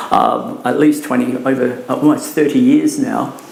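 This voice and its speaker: The Australian accent comes through audible room echo and noticeable background noise. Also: man. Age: 60s. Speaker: drug education speaker. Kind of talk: talk to parents.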